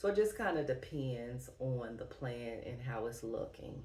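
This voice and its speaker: A woman speaks at a fairly slow pace, with audible room echo around her voice. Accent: Southern US. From US Midwest, Dayton, Ohio. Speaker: plant YouTuber. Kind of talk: casual Q&A vlog.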